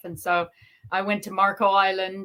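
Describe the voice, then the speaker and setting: Speaking at a medium pitch, a woman talks with an American accent. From Canada, Ontario near Detroit. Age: 50s. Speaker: lawyer and YouTuber. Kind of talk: casual chat. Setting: livestream video call. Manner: calm.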